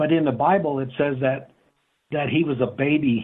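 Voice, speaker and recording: A normal speaking voice from a man, fairly high in pitch, at a moderate pace with fairly even intonation. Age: 50s. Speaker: caller. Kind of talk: call-in question.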